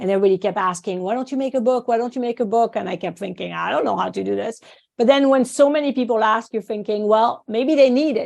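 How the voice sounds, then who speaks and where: Very fast speech from a woman with a French accent, fairly high in pitch, with ordinary pitch variation and a quiet background. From France, small village. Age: 50s. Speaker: acupuncturist and teacher. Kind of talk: podcast interview. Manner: animated.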